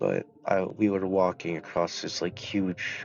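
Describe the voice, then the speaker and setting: A man speaks at a very slow pace with a very deep, low pitch. Music plays in the background. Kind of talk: casual talk to camera.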